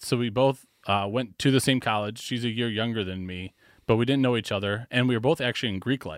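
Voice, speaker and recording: A man with an American accent at a very fast pace, in a very clean recording with a silent background. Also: dry, close sound with no echo. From Wisconsin, Wauwatosa (Milwaukee area). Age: 30s. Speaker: civil engineer. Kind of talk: casual chat.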